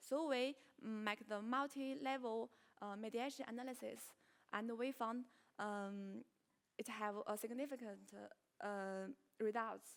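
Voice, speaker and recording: In a Chinese accent, the speaker goes at a fairly slow pace with fairly even intonation and long, frequent pauses. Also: woman, fairly high pitch for a woman. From China. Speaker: researcher presenting at conference. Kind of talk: conference Q&A. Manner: halting, many fillers.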